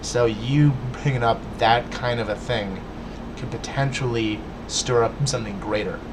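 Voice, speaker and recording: Amid noticeable background noise and audible room echo, a man with a medium pitch speaks at a fairly slow pace with fairly even intonation and long, frequent pauses. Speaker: vlogger. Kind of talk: casual rant to webcam.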